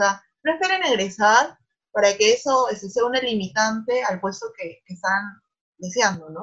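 A woman talks in a normal speaking voice with a fairly high pitch. Her intonation is lively and her pace fairly slow. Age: 20s. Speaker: bank risk analyst. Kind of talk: interview.

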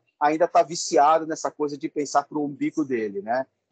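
In a dry, close sound with no echo, a man with an ordinary speaking voice and fairly high pitch talks at a fairly quick pace. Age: 50s. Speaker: educator and project coordinator. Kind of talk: interview. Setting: video call.

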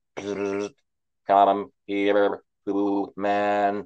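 A man puts on a robotic character voice with monotone, flat intonation. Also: fairly low pitch for a man.

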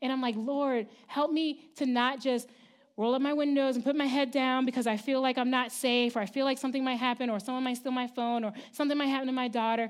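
Speaking very fast at a high pitch, a woman keeps her loudness very even. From Baltimore, Maryland, US East Coast. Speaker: church leader giving the sermon. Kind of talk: sermon. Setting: church service with congregation. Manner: animated, laughing often.

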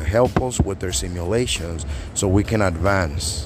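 Music plays in the background as a man with a non-native accent speaks with ordinary pitch variation. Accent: foreign-accented English. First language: not English. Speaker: podcast host. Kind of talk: casual monologue. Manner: fast talker.

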